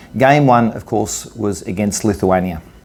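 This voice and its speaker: With an Australian accent, a man speaks at a medium pitch and a moderate pace. His intonation is lively, and music plays in the background. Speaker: interviewer and masters basketball player. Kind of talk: interview. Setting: on location at a tournament in Italy.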